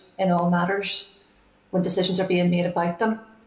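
A woman at a moderate pace, monotone and flat in intonation, with audible room echo. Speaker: remote witness. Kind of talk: formal opening statement. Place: home room. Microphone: earbuds.

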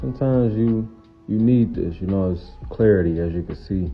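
Music plays in the background as a man speaks at a fairly slow pace. His pitch varies in an ordinary way. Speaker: trucker vlogger. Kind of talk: casual vlog chat. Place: open country. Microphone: phone near.

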